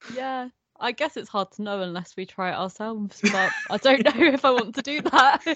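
Speaking fairly quickly with an English accent, a woman uses a high pitch and lively intonation in a dry, close sound with no echo. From England. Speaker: podcast guest, horror podcaster. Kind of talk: casual chat. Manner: laughs a lot.

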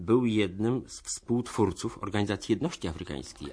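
With a plain, everyday voice, a man speaks at a moderate pace with fairly low pitch and lively intonation over a quiet background. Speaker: radio host. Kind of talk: radio documentary presentation.

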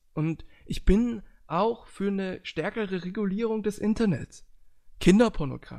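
A man speaks at a fairly slow pace. His tone is dark and mellow, with ordinary pitch variation. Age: 20s. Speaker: podcast host. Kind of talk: casual chat.

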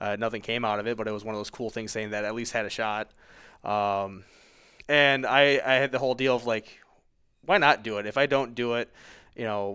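An ordinary speaking voice with an American accent moves at a fairly quick pace with fairly even intonation, captured in a very clean recording against a silent background. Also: man. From Michigan. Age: 30s. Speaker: high school football coach. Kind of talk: casual interview.

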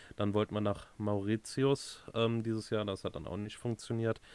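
On a very clean recording with a silent background, a man speaks in a monotone, flat way, the sound dry and close with no echo. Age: 30s. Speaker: podcast co-host, van converter. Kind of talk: casual chat.

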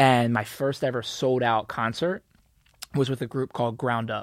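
With an American accent, an ordinary speaking voice comes through on a very clean recording with a silent background. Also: man. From Philadelphia suburbs. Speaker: creative collective founder. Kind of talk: interview.

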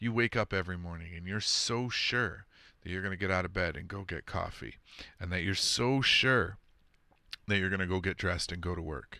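A man's very deep, low voice carries a bright, sharp tone at a fairly quick pace with ordinary pitch variation, on a very clean recording with a silent background. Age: 40s. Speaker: podcast host and streamer. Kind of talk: casual monologue on paranormal topics. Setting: live stream with chat.

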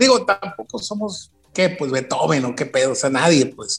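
A man talks at a moderate pace in a high pitch, his voice swinging very widely. Music plays in the background. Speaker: rock musician. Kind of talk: casual chat.

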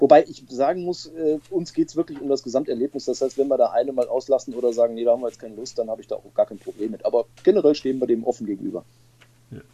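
At a very fast pace, a man with a medium pitch and a dark, mellow tone speaks with ordinary pitch variation and big swings in loudness, the sound dry and close with no echo. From Ruhr area, Bochum. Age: 40s. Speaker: motoring journalist and rally participant. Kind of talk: casual interview.

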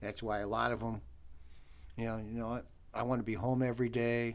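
This is a man with an American accent. His pitch sits at a medium level. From US Midwest, Cleveland area, Ohio. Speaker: truck driver and trainer. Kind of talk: casual interview.

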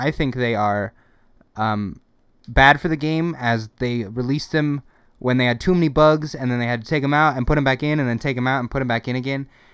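This man has an unremarkable speaking voice at a medium pitch and a fairly quick pace. The recording is very clean, with a silent background. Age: 20s. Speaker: podcast co-host. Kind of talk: casual chat.

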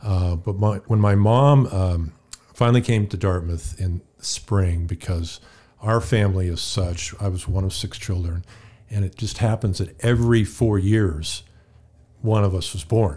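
A man's fairly low, somewhat breathy voice with a dark, mellow tone, an American accent, ordinary pitch variation and a fairly slow pace. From California. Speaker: podcast guest, healthcare professional. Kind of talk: interview, personal faith story. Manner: hesitant, many fillers.

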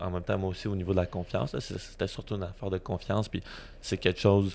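A man talks at a very fast pace. His pitch is very deep and low. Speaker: podcast host. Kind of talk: casual chat. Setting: video recording with sunlight on camera.

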